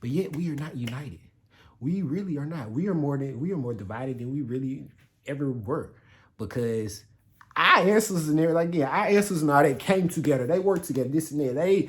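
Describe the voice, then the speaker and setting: In a very clean recording with a silent background, a man with a fairly high pitch talks at a very fast pace, his tone animated, his intonation lively, his voice somewhat breathy. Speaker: YouTuber. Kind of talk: casual vlog commentary.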